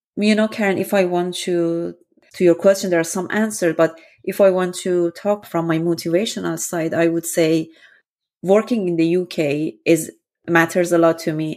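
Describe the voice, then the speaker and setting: On a very clean recording with a silent background, a woman with an Iranian accent speaks at a moderate pace in a fairly low pitch. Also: fairly even intonation. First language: Persian. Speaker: data scientist. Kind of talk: interview.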